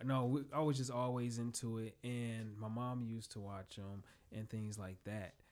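Someone talks in a plain, everyday voice with an American accent, keeping a moderate pace and fairly even intonation. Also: man, medium pitch for a man. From Chicagoland area, northwest Indiana. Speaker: restaurant owner and chef. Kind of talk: casual interview chat. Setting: podcast studio.

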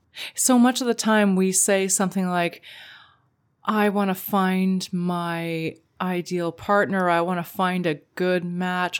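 Recorded very cleanly against a silent background, a normal speaking voice with a Canadian accent holds fairly even intonation. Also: woman. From Canada. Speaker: podcast co-host, relationship coach. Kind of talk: casual chat.

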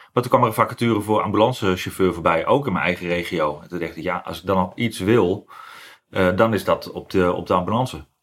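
A man with a very deep, low pitch talks at a very fast pace, with ordinary pitch variation and big swings in loudness. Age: 40s. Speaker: ambulance driver. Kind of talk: interview. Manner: halting, many fillers.

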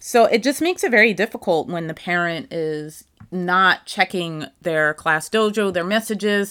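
A woman's bright, sharp, medium-pitched voice with ordinary pitch variation and hardly any pauses, on a very clean recording with a silent background. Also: moderate pace. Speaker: teacher and podcast host. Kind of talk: casual monologue. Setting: home apartment.

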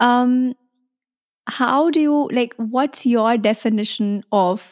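A woman's voice, dry and close with no echo. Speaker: podcast host. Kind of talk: interview. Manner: animated.

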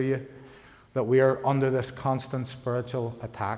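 A man in a Northern Irish accent, medium pitch, moderate pace, monotone, flat intonation, with audible room echo. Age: 40s. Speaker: pastor. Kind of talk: sermon.

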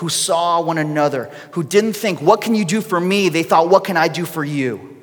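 Noticeable background noise and audible room echo surround a man speaking at a fairly high pitch with ordinary variation. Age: 30s. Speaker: pastor. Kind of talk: sermon.

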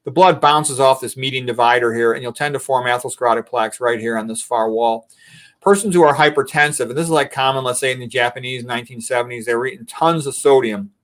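The man has an ordinary speaking voice at a medium pitch. He talks fairly quickly with ordinary pitch variation. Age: 60s. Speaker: physician. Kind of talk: interview and slide presentation. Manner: casual, conversational.

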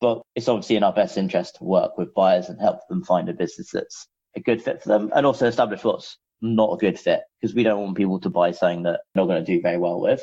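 A man speaks at a very fast pace with a London accent. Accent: British (London). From London, England. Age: 30s. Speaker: business founder, M&A broker. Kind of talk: interview.

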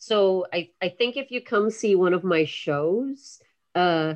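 A plain, everyday voice from a woman, medium in pitch with ordinary pitch variation. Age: 40s. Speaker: breaker and dance artist. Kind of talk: casual interview.

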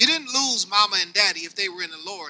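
This man's voice is raised and projected, high in pitch, with lively intonation. He speaks at a fairly quick pace. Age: 50s. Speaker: pastor. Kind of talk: sermon.

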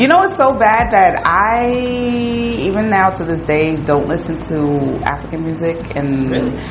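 Loud and animated in tone, a woman with an American accent speaks at a fairly slow pace with hardly any pauses and very wide pitch swings over noticeable background noise. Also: medium pitch for a woman. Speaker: podcast host. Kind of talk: casual chat with a friend. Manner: loud, animated, talkative.

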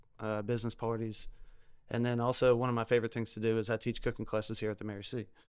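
Against a quiet background, a man with a Louisiana accent talks very fast at medium pitch in a monotone, flat delivery. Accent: Southern US, Louisiana. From South Louisiana. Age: 30s. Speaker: chef and food truck owner. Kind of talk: casual podcast interview.

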